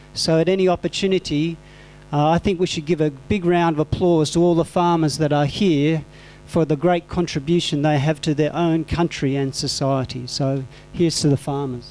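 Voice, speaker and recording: At a moderate pace, a man with an Australian accent speaks at a fairly high pitch. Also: fairly even intonation, very even loudness. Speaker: composting teacher, conference speaker. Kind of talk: conference presentation. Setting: conference hall with audience.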